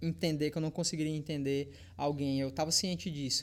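This man has an unremarkable speaking voice, fairly high in pitch, and talks at a fairly quick pace. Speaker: fitness YouTuber. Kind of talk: casual chat.

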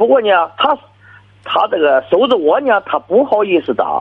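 A man talks at a fairly quick pace. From Shandong. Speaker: village party secretary, caller. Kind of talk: call-in advice conversation. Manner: halting.

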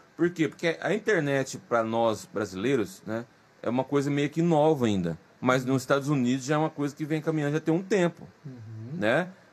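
In a very clean recording with a silent background, a man speaks in a plain, everyday voice, fairly high-pitched, with lively intonation at a moderate pace. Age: 40s. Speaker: podcast host. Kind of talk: casual interview chat.

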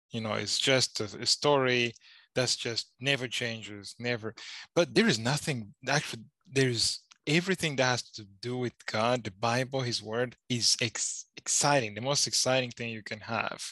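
A man speaks at medium pitch and a moderate pace with ordinary pitch variation. His bright, sharp tone sounds dry and close with no echo over a quiet background. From Rwanda. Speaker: Bible student. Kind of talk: casual chat.

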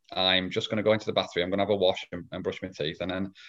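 A man is speaking. He has a northwest English accent. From northwest England. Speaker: lean consultant and trainer. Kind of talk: casual interview. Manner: halting, repeats words.

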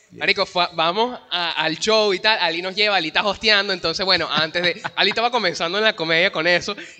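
One man talks at a very fast pace with hardly any pauses, in a raised, projected voice. His pitch is high and his intonation fairly even. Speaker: podcast host. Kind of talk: casual chat. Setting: live stream in a shopping mall.

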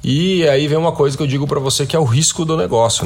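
Somewhat breathy, a man's voice races along at a very fast pace. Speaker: podcast host. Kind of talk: news commentary. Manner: frequent fillers and hesitations.

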